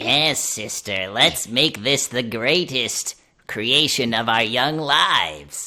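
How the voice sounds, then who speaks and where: A put-on character voice, low in pitch, moves along at a very slow pace. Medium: actual play.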